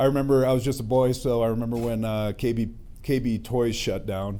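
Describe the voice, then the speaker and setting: Audible room echo surrounds a man with an American accent. His tone is dark and mellow, his intonation fairly even. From Centennial, Colorado. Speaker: resident speaking at community meeting. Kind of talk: public comment at community meeting. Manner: halting.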